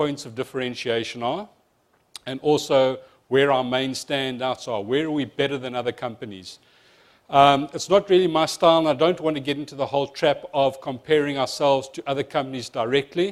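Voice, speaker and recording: A man's fairly high voice with a South African accent. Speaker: insurance company presenter. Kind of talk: seminar presentation. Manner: fast.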